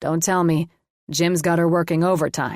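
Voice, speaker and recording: In a growling, put-on character voice, a woman speaks at a fairly low pitch and moderate pace with monotone, flat intonation, recorded very clean with a silent background and a dry, close sound with no echo. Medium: read story.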